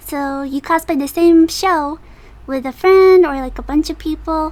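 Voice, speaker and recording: A mumbling woman with ordinary pitch variation. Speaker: cosplayer. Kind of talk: casual story time talk. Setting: noisy home recording. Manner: mumbly.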